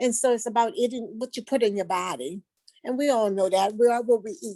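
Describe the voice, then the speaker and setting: A woman speaks with a New Orleans accent and a fairly high pitch. Her pace is moderate. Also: dry, close sound with no echo. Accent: New Orleans Southern US. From US South, New Orleans, Louisiana. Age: 60s. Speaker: patient giving testimonial. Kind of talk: testimony. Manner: halting, with fillers.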